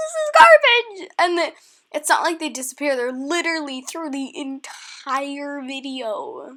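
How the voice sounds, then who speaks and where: A woman speaks in a raised, projected voice at a fairly slow pace. Her intonation is lively and her loudness swings widely. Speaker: YouTuber, digital artist. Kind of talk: casual vlog explanation. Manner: hesitant, filler-heavy.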